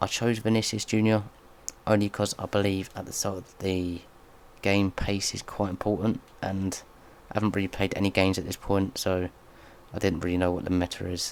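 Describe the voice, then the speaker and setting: Soft-spoken and very deep in pitch, a man talks at a fairly quick pace in a monotone, flat delivery. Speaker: gaming youtuber. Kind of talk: gameplay commentary.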